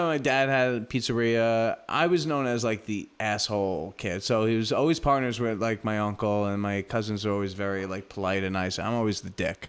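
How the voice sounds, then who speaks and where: A man with an American accent speaks at a moderate pace with hardly any pauses. The recording is very clean, with a silent background. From New York City (Brooklyn, Staten Island). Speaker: pizzeria owner. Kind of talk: casual chat.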